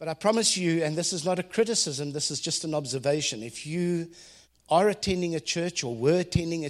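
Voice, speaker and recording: Fairly quick speech with a South African accent. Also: man, quiet background. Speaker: ministry leader and business consultant. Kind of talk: devotional talk. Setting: stage with audience.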